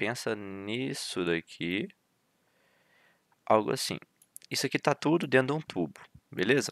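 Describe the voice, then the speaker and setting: A man's medium-pitched voice with lively intonation and long, frequent pauses, on a very clean recording with a silent background. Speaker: university student tutor. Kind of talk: lecture. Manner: fast.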